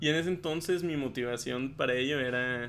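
A man's medium-pitched voice is heard with audible room echo. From Chihuahua, Mexico. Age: 20s. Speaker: podcast guest. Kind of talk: casual chat.

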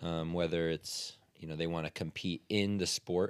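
A man is talking. His voice sits very deep and low in pitch. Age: 20s. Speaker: podcast co-host, CrossFit athlete. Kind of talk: casual chat.

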